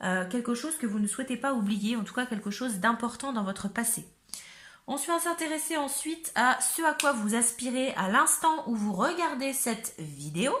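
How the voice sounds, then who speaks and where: Her high pitch and lively intonation carry this woman along at a moderate pace. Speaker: tarot reader. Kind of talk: tarot reading; casual chat.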